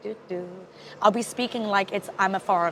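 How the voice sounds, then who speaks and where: Sounding animated, a woman speaks at a fairly high pitch and a moderate pace with ordinary pitch variation, amid noticeable background noise. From England. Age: 20s. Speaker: photographer and director. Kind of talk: casual chat.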